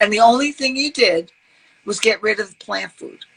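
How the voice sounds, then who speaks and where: With a New York accent, a woman speaks in an animated tone at a moderate pace, her fairly high pitch carried by lively intonation. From New York, Brooklyn. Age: 60s. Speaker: health advocate. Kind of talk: podcast interview.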